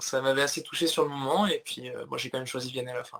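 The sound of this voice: At a very fast pace, a man speaks with a medium pitch, vocal fry, a fairly bright tone and fairly even intonation.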